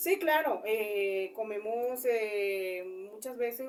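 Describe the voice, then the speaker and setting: A woman speaks with a Colombian coastal accent. Her pitch is fairly high. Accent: Colombian coastal (costeño). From Colombian Caribbean coast, Cesar. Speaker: interviewee. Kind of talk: interview. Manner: halting, many fillers.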